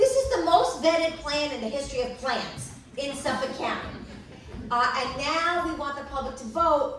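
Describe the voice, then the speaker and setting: A woman with an American accent speaks in an animated tone at a high pitch and a moderate pace. Audible room echo and noticeable background noise surround her. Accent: Brooklyn accent, sometimes. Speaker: panel expert on clean water policy. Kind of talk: panel talk to an audience. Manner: animated, conversational.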